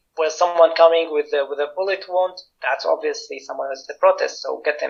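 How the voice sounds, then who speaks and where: This is a man with a Syrian accent. He talks at a fairly quick pace. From Syria, Damascus. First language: Arabic. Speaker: political activist and researcher. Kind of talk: interview testimony. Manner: halting, many fillers and restarts.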